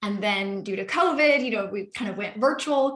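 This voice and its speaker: A plain, everyday voice from a woman with an American accent, fairly high in pitch, with ordinary pitch variation at a moderate pace. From Seattle, US Pacific Northwest. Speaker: real estate investor and webinar host. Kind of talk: webinar presentation.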